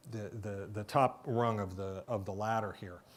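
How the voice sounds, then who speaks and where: A man's fairly low, slow-paced voice with ordinary pitch variation, on a very clean recording with a silent background. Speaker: keynote speaker, IT industry analyst. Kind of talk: conference keynote. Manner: hesitant, many fillers and repetitions.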